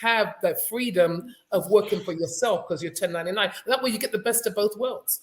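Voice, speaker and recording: Here a woman speaks with a London accent. Her voice is fairly high, and her pace is fairly quick. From London, England. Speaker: career recruiter. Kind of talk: casual group discussion.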